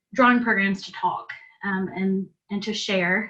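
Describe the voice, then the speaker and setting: A woman speaks with a Southern US accent at a medium pitch. Her tone is bright and sharp, her pace moderate. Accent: Southern US (Georgia). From US South, south Georgia. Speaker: interior designer presenting. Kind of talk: presentation / webinar talk.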